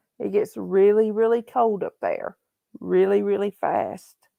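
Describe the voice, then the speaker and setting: With a Southern US accent, a woman speaks at a fairly slow pace in a dry, close sound with no echo. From Tennessee. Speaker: livestream host. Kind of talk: casual live chat. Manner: halting, repetitive.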